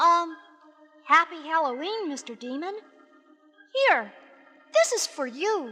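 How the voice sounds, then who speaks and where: Faint music plays behind a put-on character voice at an extremely high pitch, moving at a fairly slow pace with long, frequent pauses. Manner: kind, cheerful.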